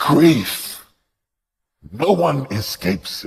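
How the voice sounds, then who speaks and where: This is a man talking. His delivery is very slow. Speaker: preacher. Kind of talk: sermon. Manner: emphatic, repetitive rhetorical questions.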